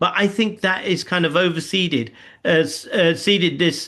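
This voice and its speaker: A man speaks at a high pitch with ordinary pitch variation. The background is quiet. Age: 60s. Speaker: online spiritual discussion host. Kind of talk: open forum discussion.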